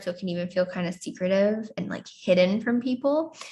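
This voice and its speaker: The speech runs at a very fast pace over a quiet background. The voice is somewhat breathy. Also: woman. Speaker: astrology teacher. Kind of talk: lecture. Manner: chatty; hesitant.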